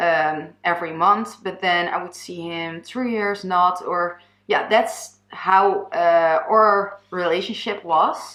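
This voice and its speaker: A woman's medium-pitched voice with a Dutch accent, very slow and fairly even in intonation. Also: big swings in loudness. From Netherlands. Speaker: YouTuber. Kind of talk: personal testimony. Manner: halting.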